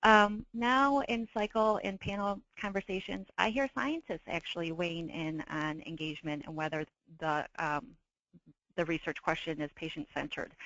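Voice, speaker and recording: A woman has a normal speaking voice. She keeps a moderate pace. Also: fairly low pitch for a woman, lively intonation. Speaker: patient advocate reviewer. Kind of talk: webinar presentation.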